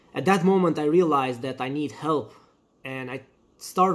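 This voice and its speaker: A man speaks with a non-native accent and a fairly high pitch. His pace is moderate. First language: not English. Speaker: firefighter candidate. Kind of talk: testimony.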